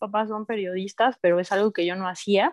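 Over a quiet background, a woman with a Mexican accent speaks at a moderate pace and medium pitch, the sound dry and close with no echo. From Mexico, Oaxaca. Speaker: audio engineer and music promoter. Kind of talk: casual chat.

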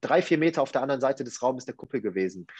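A man speaks against a quiet background. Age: 20s. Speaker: life coach. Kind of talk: casual interview chat. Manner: halting, many fillers.

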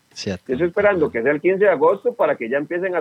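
A man with a high pitch. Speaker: public accountant, tax specialist. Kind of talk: interview. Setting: phone call.

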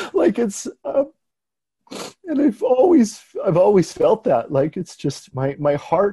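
A man with a western Canadian accent speaks very slowly, his pitch swinging very widely in a dark, mellow tone. The sound is dry and close, with no echo. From Canada, Abbotsford, British Columbia. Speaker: artist and art professor. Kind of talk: interview. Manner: halting, many fillers.

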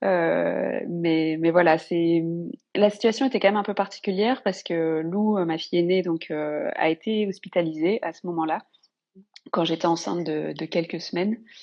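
A woman talks at a moderate pace in a plain, everyday voice, fairly low in pitch with ordinary pitch variation. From northern France. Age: 30s. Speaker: mother sharing birth story. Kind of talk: personal testimony.

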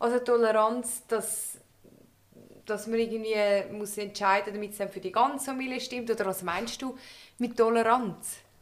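A woman with a Swiss accent speaks at a moderate pace. Her pitch is fairly high, and her intonation fairly even. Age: young. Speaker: podcast host. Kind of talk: life-story interview. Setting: living room. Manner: cheerful, laughing.

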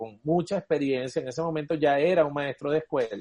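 An unremarkable speaking voice from a man, fairly high in pitch with ordinary pitch variation. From eastern Venezuela (Guayana, El Tigre). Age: 40s. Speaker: cuatro player and musician. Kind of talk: casual chat.

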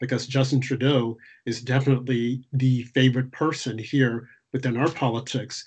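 In an American accent, the somewhat breathy voice keeps a monotone, flat intonation over a quiet background. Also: man. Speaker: podcast host. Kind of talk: interview.

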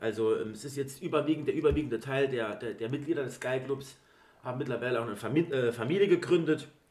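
Speaking with an ordinary speaking voice, a man with a fairly high pitch goes at a fairly quick pace with ordinary pitch variation. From Saarland, Germany (Eppelborn). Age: 30s. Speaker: football club fan, podcast guest. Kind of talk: casual chat.

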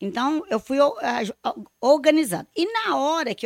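Her pitch is high and swings very widely. The woman's sound is dry and close, with no echo. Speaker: public speaker, mother of a singer. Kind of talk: casual chat.

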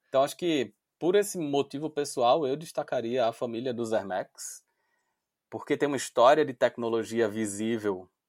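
In a dry, close sound with no echo, a man talks at medium pitch and a moderate pace. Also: very clean recording, silent background. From Brazil, Recife (Pernambuco). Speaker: sneaker media founder, dentist by training. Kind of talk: interview conversation.

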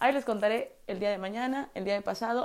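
An animated tone and lively intonation at a fairly quick pace, on a very clean recording with a silent background. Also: woman. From Mexico, Puebla. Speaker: podcaster. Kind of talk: casual monologue.

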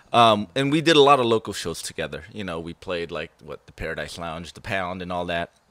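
A man with an American accent and a very deep, low pitch talks at a fairly quick pace with hardly any pauses. His intonation is lively, and his loudness swings widely. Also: dry, close sound with no echo. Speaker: thrash metal guitarist. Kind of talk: casual interview chat.

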